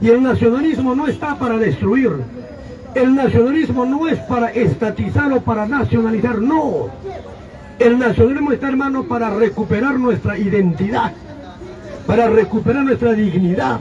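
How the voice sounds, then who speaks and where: Over noticeable background noise, a man talks at a moderate pace in an extremely high pitch. His tone is animated, with ordinary pitch variation. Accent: Peruvian. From Peru, Ancash. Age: 70s. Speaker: political commentary show host. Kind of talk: political talk show.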